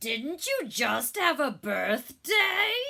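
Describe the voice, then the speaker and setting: This is a put-on character voice with a high pitch. It is loud. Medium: read story. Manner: loud, exuberant.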